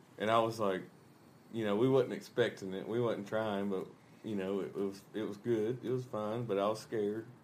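Here a man speaks with a fairly low pitch. His intonation is flat and monotone. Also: moderate pace. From US South. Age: 20s. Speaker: rock band musician. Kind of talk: casual chat. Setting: hotel room.

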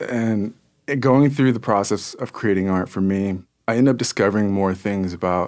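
A man has an ordinary speaking voice with a fairly low pitch and ordinary pitch variation. He speaks at a moderate pace on a very clean recording with a silent background. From US, born Kansas City, raised in US Southeast. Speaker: muralist and painter. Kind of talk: interview conversation.

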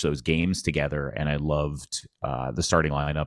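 A man's very deep, low voice with vocal fry, in a dry, close sound with no echo and a very clean recording against a silent background. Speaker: PA announcer and comedian. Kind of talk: casual interview chat.

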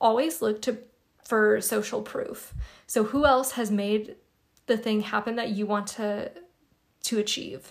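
Pausing long and often, a woman talks at a fairly slow pace with a fairly high pitch and ordinary pitch variation. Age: 20s. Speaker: spiritual podcast host. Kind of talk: solo podcast monologue. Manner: casual, conversational.

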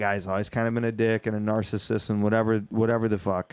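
With an American accent, a man talks at a very fast pace on a very clean recording with a silent background. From Michigan, US (Whitehall). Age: 30s. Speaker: comedian. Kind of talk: casual chat.

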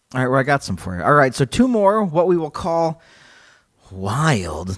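A man speaks at a moderate pace in a playful tone, his pitch swinging very widely. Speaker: podcast host. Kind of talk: casual comedic chat, reading quotes aloud. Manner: joking, playful.

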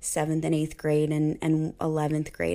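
Here is a woman with an American accent and an ordinary speaking voice. The recording is very clean, the background silent. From Ohio, Cincinnati area. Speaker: orchestra teacher. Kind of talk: casual interview.

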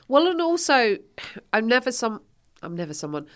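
A woman speaks in an English accent, her pitch swinging very widely. The recording is very clean, with a silent background. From England. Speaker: stand-up comedian. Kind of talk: casual chat.

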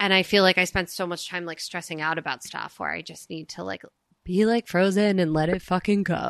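A woman with an ordinary speaking voice talks at a fairly quick pace with fairly low pitch and fairly even intonation. Her loudness swings widely, and the sound is dry and close with no echo. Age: 30s. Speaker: podcast host and comedian. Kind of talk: casual chat.

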